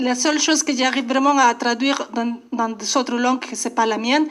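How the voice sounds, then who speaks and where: Her voice high and her intonation monotone and flat, a woman speaks. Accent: Spanish. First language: Spanish (speaking French). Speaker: poet. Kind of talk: radio interview. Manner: halting.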